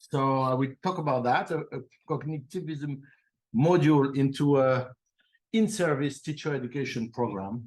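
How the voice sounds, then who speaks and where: A man with a French accent speaks at a moderate pace. His pitch is fairly high, with ordinary pitch variation. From France. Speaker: professor. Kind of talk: conference talk. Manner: halting, with many fillers and repeats.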